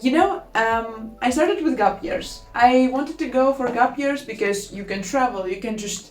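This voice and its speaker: There is audible room echo as a woman with a high voice talks at a moderate pace with lively intonation. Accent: Latvian. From Latvia. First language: Latvian. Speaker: student vlogger. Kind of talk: casual vlog talk. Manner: informal, with filler words.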